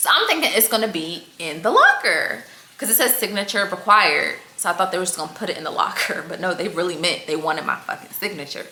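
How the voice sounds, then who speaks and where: A woman talks in an animated tone at a fairly quick pace. Noticeable background noise sits behind her. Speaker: fashion vlogger. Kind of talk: casual storytime vlog. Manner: fast.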